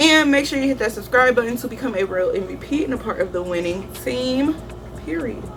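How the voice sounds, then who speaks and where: Fairly quick delivery with very wide pitch swings over background music. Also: woman, high pitch for a woman. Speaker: beauty youtuber. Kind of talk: makeup tutorial. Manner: fast.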